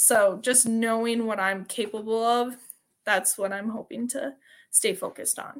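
On a very clean recording with a silent background, a woman with a Wisconsin accent speaks fairly slowly at a fairly high pitch, her intonation fairly even. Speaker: CrossFit athlete and teacher. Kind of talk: interview.

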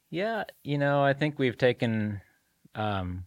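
A man talks at a fairly slow pace in an ordinary speaking voice, with ordinary pitch variation. The recording is very clean with a silent background and a dry, close sound with no echo. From Salem, Oregon (born in Mexico, moved young). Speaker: marketing company owner. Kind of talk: interview.

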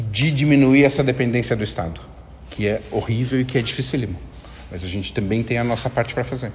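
Medium-pitched man with a Brazilian accent, fairly quick pace, ordinary pitch variation and noticeable background noise. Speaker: theatre artistic director. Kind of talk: interview. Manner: halting, many fillers.

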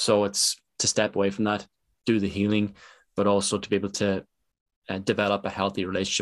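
A man with an Irish accent speaks in a fairly low, monotone, flat voice. The sound is dry and close with no echo, over a quiet background. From Ireland. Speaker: podcast host. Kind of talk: interview.

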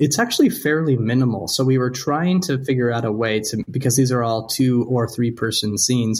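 Speaking at a fairly quick pace, a man has an ordinary speaking voice, with a medium pitch and ordinary pitch variation. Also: hardly any pauses. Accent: American. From US Midwest, North Dakota. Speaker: theatre director and professor. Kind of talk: radio interview.

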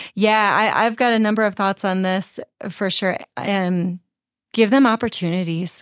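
A woman with an American accent talks at a moderate pace and medium pitch, her intonation fairly even. It is an unremarkable speaking voice, heard in a dry, close sound with no echo and a very clean recording with a silent background. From US Midwest, Chicago suburbs. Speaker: worship leader and vocal coach. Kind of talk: casual interview.

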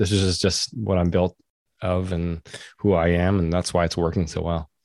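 A man's very deep, low voice with a Western Canadian accent, dry and close with no echo, against a quiet background. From Vancouver, Canada. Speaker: entrepreneur and men's group leader. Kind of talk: casual interview chat.

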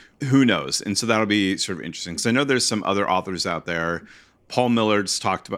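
An ordinary speaking voice from a man, fairly low in pitch, with ordinary pitch variation and a fairly quick pace. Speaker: podcast co-host. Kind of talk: casual chat. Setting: video call.

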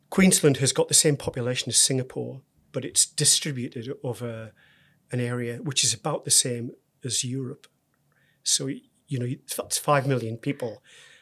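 With a northeast English accent, a man of medium pitch talks at a moderate pace with ordinary pitch variation and long, frequent pauses, on a very clean recording with a silent background. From northeast England. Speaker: university executive. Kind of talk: interview.

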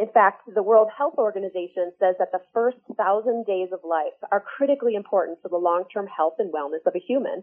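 Using an unremarkable speaking voice, a woman with an American accent talks at a fairly quick pace and medium pitch, with ordinary pitch variation and hardly any pauses. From northern Michigan, US. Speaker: nonprofit executive director. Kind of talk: radio interview.

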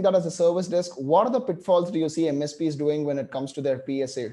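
Ordinary pitch variation, a fairly quick pace and a dark, mellow tone. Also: man. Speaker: podcast host. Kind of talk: interview.

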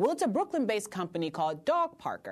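The background stays quiet. Against it, a woman's pitch leaps in very wide swings. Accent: American. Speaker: radio host. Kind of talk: radio show hosting, interview. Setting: studio.

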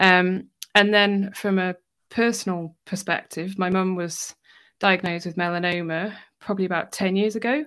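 A woman with a normal speaking voice talks at a moderate pace and medium pitch, with fairly even intonation, on a very clean recording with a silent background. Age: 30s. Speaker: cancer rehab instructor. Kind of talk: interview.

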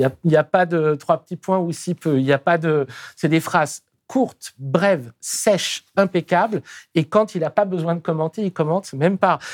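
The recording is very clean, and the background is silent. Delivery is at a moderate pace. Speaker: interviewer. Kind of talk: interview.

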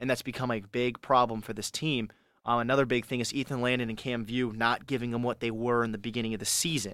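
Very fast speech in an American accent, on a very clean recording with a silent background. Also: man, medium pitch for a man. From California. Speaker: college radio sports host. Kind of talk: solo sports talk show. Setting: radio studio. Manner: casual, animated.

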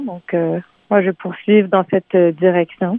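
Speaking at a fairly slow pace, a woman with an unremarkable speaking voice keeps her intonation fairly even. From Montreal, Quebec. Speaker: singer-songwriter. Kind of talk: radio interview.

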